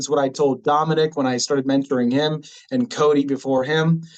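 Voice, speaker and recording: Talking at a very fast pace, a man with an American accent uses a fairly high pitch. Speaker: cybersecurity specialist. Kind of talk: interview.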